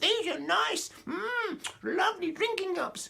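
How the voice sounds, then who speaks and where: A man uses a put-on character voice at an extremely high pitch. He talks at a fairly slow pace. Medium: read story. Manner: suspicious.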